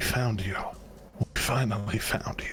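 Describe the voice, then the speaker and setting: Using a put-on character voice, a man whispers at a moderate pace. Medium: actual play.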